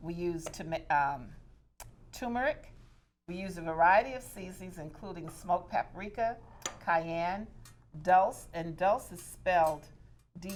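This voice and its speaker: A woman speaks fairly slowly at a fairly low pitch, with ordinary pitch variation and big swings in loudness. Long, frequent pauses break up her speech over music in the background. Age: 60s. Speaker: diversity and inclusion coach and public speaker. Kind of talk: cooking demonstration.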